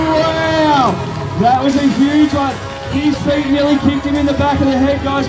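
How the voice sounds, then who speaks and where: Clear background music behind a man's moderately paced speech. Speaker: event announcer. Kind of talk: live event commentary. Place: open country.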